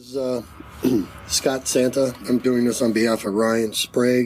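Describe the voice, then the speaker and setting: Amid noticeable background noise, a man speaks fairly slowly at a medium pitch, flat and monotone in intonation, with big swings in loudness. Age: 60s. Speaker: retired coast guard veteran and UFO witness. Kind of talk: testimony.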